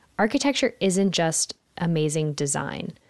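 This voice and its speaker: In a quiet background with a dry, close sound and no echo, a woman with an American accent speaks slowly-ish, at a fairly slow pace, in a fairly low pitch and an unremarkable speaking voice. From Philadelphia, Pennsylvania, US. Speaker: podcast host and architect. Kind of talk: scripted podcast introduction.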